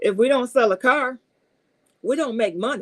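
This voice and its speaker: Someone speaks at a fairly quick pace in an animated tone, with a dry, close sound and no echo. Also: woman. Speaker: car salesperson and video host. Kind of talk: live stream advice talk. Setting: live stream. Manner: fast.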